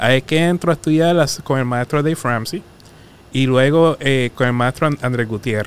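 At a moderate pace, the speaker talks with a Puerto Rican accent and ordinary pitch variation. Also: man, medium pitch for a man. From Puerto Rico, Arroyo. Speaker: personal finance coach. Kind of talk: casual interview chat. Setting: studio.

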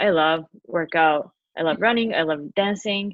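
Fairly low-pitched female speech with a Japanese accent and ordinary pitch variation. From Tokyo, Japan. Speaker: podcaster and office worker. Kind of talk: casual interview.

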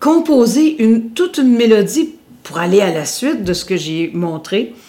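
A woman with a Quebec accent speaks at a fairly slow pace, her fairly high voice dark and mellow in tone and swinging very widely in pitch. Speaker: singer and radio host. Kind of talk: interview. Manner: loud.

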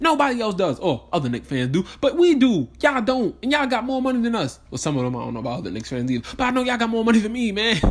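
A man with a high pitch speaks very fast with hardly any pauses. His tone is animated, and his pitch swings very widely. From New York. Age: 20s. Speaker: podcast host. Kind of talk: casual solo monologue.

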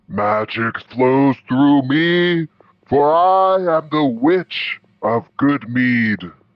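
Using a put-on character voice, a man speaks loudly at a very slow pace in a fairly high pitch. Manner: grandiose, theatrical.

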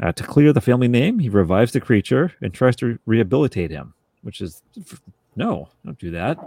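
A man with a medium pitch and vocal fry speaks at a fairly quick pace, with very wide pitch swings and big swings in loudness. The sound is dry and close, with no echo. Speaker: podcast host. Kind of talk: casual chat. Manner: joking, animated.

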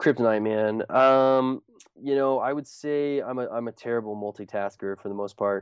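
A man with an American accent speaks in an unremarkable speaking voice at medium pitch and a moderate pace. His intonation is fairly even, and the sound is dry and close with no echo. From US Pacific Northwest (Whidbey Island, Washington). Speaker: student entrepreneur, food cart founder. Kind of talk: interview. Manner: casual, many fillers and restarts.

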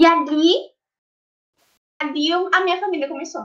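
This female speaker's voice is raised and projected. It sounds bright and sharp. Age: 20s. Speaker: psychology student. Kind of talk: casual chat.

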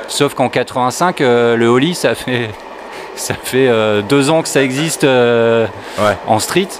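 At a very slow pace, the speech holds very even loudness and ordinary pitch variation over noticeable background noise. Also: man, medium pitch for a man. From southern France (Var, Provence coast). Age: 40s. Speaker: veteran skateboarder and photographer. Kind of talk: casual chat.

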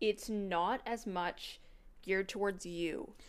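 Speaking at a medium pitch with ordinary pitch variation, a woman has a plain, everyday voice. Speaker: podcast co-host. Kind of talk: casual chat.

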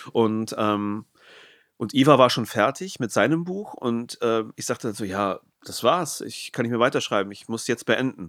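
A man with a plain, everyday voice speaks at a moderate pace in a medium pitch, with ordinary pitch variation. His loudness swings widely, and the recording is very clean with a silent background. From northern Germany. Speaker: podcast host and writer. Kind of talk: casual interview.

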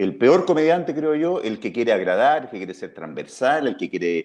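The speaker is a man. He talks very fast. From Chile, Talca. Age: 50s. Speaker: comedian and writer. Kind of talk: casual interview.

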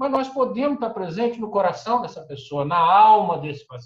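This man has a high-pitched voice. His intonation is lively, and his pace is moderate. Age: 60s. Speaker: physician, anesthetist. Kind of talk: webinar panel discussion.

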